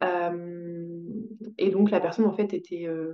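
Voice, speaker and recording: A woman talks with fairly even intonation. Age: 20s. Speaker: podcast guest sharing birth story. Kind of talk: testimony. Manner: halting, many hesitations.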